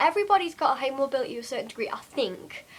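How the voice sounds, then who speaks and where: Someone with a Geordie accent talks at a very fast pace, their pitch swinging very widely. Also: woman. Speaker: vlogger. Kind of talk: casual vlog monologue. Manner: hesitant, many fillers.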